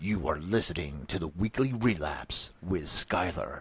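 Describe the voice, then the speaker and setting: Booming at a very deep, low pitch, a man puts on a character voice at a moderate pace. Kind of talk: broadcast announcer. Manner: booming, showy.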